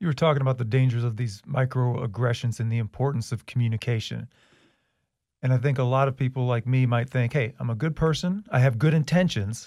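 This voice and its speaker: A man speaks at a fairly quick pace, his voice somewhat breathy. The recording is very clean with a silent background. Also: medium pitch for a man, ordinary pitch variation. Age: 40s. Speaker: podcast host, school district video producer. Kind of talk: interview conversation.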